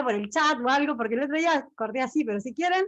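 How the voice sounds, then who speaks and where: A woman with a high voice, at a fairly quick pace, with lively intonation. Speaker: ballet history lecturer. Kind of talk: online lecture.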